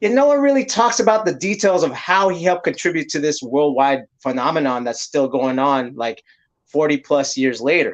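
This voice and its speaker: A normal speaking voice with an American accent and lively intonation. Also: man, fairly high pitch for a man, moderate pace. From San Francisco, US West Coast. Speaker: podcast host. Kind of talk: casual chat. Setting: livestream.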